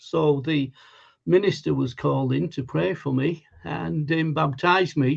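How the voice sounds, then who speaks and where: A man speaks in a Lancashire accent at a fairly high pitch. His intonation is lively and his pace fairly slow. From northern England, Lancashire (Wigan). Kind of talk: testimony. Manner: hesitant, many fillers.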